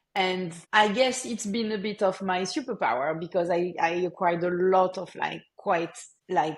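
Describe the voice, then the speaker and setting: Her pitch sits in the medium range. The woman talks at a moderate pace. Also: ordinary pitch variation. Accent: French. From France. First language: French. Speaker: marketing executive. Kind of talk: podcast interview.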